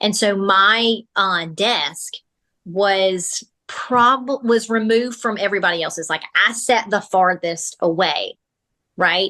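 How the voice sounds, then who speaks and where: Loud and with a bright, sharp tone, a woman speaks very slowly at a medium pitch with ordinary pitch variation. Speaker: military spouse and podcast host. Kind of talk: casual interview chat. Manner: animated.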